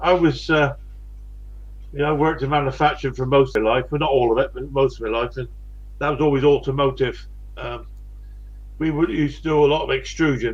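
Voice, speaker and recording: The speaker has a West Country accent. The delivery moves at a fairly quick pace. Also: man. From West Country, England. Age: 60s. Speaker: live streamer. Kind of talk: casual chat. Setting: live stream.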